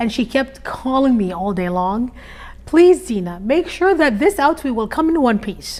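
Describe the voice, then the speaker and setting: Spoken with an Arabic accent and very wide pitch swings, the clip carries noticeable background noise. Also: woman, high pitch for a woman, moderate pace. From Iraq. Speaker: interviewee, immigrant mother. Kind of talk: interview conversation. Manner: hesitant, many fillers.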